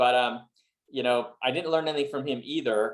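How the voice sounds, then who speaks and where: A man with a Montreal accent talks at a very fast pace in a medium pitch. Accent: Canadian English (Montreal anglophone). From Montreal, Canada (English-speaking). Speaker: real estate investor. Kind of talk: interview. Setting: video call.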